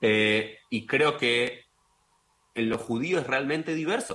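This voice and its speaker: Bright and sharp in tone, a man speaks at a fairly slow pace with a medium pitch. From Argentina. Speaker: rabbi and political scientist. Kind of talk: radio interview.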